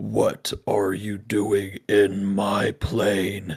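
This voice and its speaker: A man puts on a raspy, booming character voice. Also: fairly low pitch for a man. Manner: angry, confronting.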